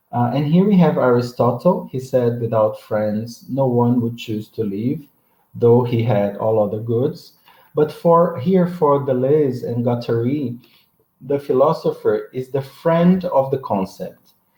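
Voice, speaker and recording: Dark and mellow in tone, a man's voice sits at a medium pitch and sounds somewhat breathy. He talks fairly slowly with ordinary pitch variation. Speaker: professor. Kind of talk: lecture. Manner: halting.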